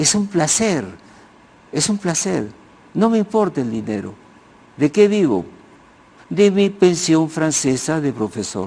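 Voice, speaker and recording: Very slow and full of long, frequent pauses, a man's fairly high voice moves through very wide pitch swings. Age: 80s+. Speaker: sociologist and historian. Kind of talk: TV interview. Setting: TV studio. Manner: halting, with many restarts.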